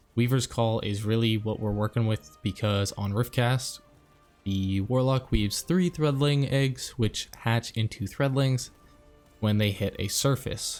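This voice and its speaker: A man talks at a fairly slow pace while music plays in the background. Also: medium pitch for a man, ordinary pitch variation. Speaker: gaming YouTuber. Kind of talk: video game guide narration. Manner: soft-spoken.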